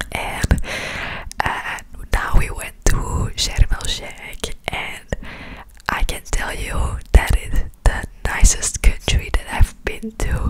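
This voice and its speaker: Whispering at a very slow pace, a woman leaves long, frequent pauses, with big swings in loudness. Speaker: ASMR creator. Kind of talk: ASMR whisper ramble. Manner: whispered. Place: home room. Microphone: studio mic.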